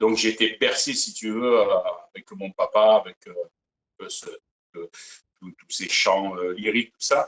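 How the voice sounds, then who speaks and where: A man with a strong southern French accent speaks with big swings in loudness and long, frequent pauses, the sound dry and close with no echo. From Provence, southern France. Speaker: singer, Elvis impersonator. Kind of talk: interview. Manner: hesitant, many fillers.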